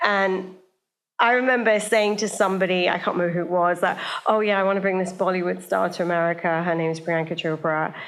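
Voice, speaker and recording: A woman in a British accent talks very fast at a medium pitch. Audible room echo surrounds her voice. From England, small town north of London. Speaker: media entrepreneur and talent manager. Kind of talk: live podcast interview. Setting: stage with live audience. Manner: animated, casual.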